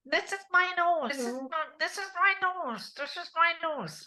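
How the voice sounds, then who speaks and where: In a put-on character voice, a woman speaks at a fairly slow pace with an extremely high, nasal pitch. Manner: demonstrating voice placement.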